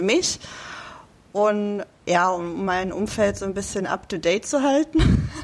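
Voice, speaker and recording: This woman has an ordinary speaking voice at a medium pitch. Her intonation is lively. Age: 30s. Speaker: amateur bodybuilder. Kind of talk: interview.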